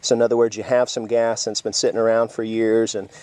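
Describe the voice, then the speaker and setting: Speaking very fast with an American accent, a man uses a medium pitch and a dark, mellow tone. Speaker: survivalist video host. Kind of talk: tutorial. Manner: casual with many fillers.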